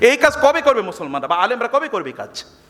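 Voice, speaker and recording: The voice moves through very wide pitch swings. Noticeable background noise runs underneath. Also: man. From Bangladesh, Chandpur. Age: 50s. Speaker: Islamic preacher and professor. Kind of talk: lecture. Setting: university hall with audience.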